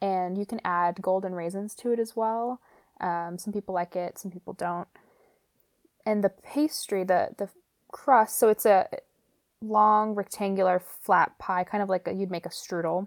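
An unremarkable speaking voice with fairly even intonation comes through dry and close with no echo, in a very clean recording with a silent background. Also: woman, medium pitch for a woman, moderate pace. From Romania until five, then US. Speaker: nonprofit food worker. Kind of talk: casual chat.

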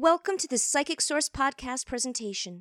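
A woman speaks in a dry, close sound with no echo. The recording is very clean with a silent background. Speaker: announcer. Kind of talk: scripted announcement.

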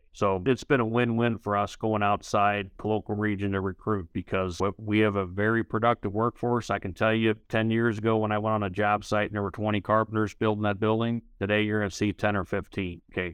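With a St. Louis accent, a man speaks at a fairly quick pace in a fairly low, monotone, flat voice. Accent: Midwestern American, St. Louis. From US Midwest, St. Louis. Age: 50s. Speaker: union leader, former carpenter. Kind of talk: interview.

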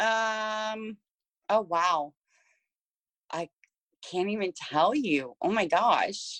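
A woman's fairly high voice with lively intonation, at a very slow pace broken by long, frequent pauses, in a dry, close sound with no echo over a quiet background. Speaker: life coach and speaker. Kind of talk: casual interview. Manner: passionate.

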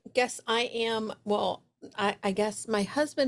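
A woman with an American accent and an unremarkable speaking voice, medium in pitch, at a fairly slow pace, on a very clean recording with a silent background. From New York City (Brooklyn). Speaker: business coach and speaker. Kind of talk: casual interview chat.

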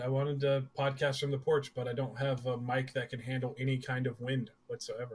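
Fairly quick, monotone, flat delivery from a man, with noticeable background noise. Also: medium pitch for a man. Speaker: co-host, gaming podcaster. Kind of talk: casual chat. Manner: loud.

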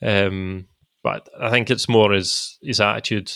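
A man with a Scottish accent, fairly low in pitch, bright and sharp in tone with vocal fry and ordinary pitch variation. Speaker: former footballer. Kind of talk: casual chat.

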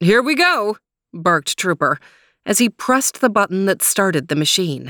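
Someone reads aloud plainly. Little sound intrudes from the background.

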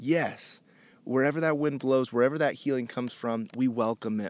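A man with an American accent, an unremarkable speaking voice, medium pitch and ordinary pitch variation, at a moderate pace, dry and close with no echo on a very clean recording with a silent background. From Indianapolis, US Midwest. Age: 30s. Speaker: podcast host. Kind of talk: casual chat. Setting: in person at a rented house in the desert.

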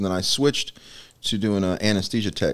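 In a very clean recording with a silent background, a man speaks with an American accent. He has an unremarkable speaking voice, fairly low in pitch, with ordinary pitch variation. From Nebraska and Florida. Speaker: army veteran, shelter ministry participant. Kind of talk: testimony.

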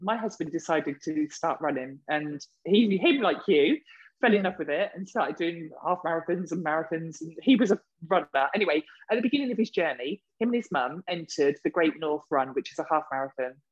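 Someone speaks at a fairly quick pace in a southern English accent. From southern England (Reading). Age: 40s. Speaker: podcast co-host. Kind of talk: casual chat. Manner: animated.

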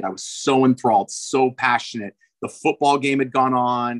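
A man with an unremarkable speaking voice talks at a medium pitch and a moderate pace. The sound is dry and close, with no echo. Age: 50s. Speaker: swim coach and swim school owner. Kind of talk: interview.

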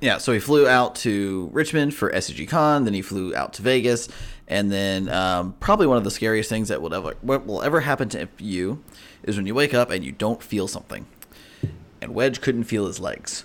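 Recorded very cleanly with a silent background, a man with a normal speaking voice talks at a moderate pace with lively intonation. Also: medium pitch for a man. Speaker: podcast co-host. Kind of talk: casual chat.

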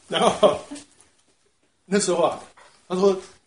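A man with a high pitch and a Taiwanese accent, at a moderate pace, with audible room echo. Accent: Taiwanese Mandarin. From Taiwan, Taipei. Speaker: church member, retired translator. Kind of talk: personal faith testimony. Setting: church small group meeting.

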